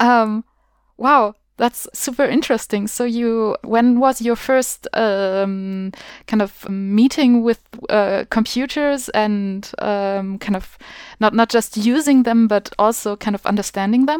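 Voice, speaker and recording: In a German accent, a woman with a fairly high voice speaks at a very slow pace with fairly even intonation, the sound dry and close with no echo. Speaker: podcast host. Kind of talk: interview.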